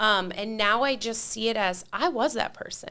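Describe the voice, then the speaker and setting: Her voice is fairly high, with a bright, sharp tone and an animated delivery. This woman keeps a moderate pace and ordinary pitch variation. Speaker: mentor for divorced women. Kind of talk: casual chat. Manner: loud.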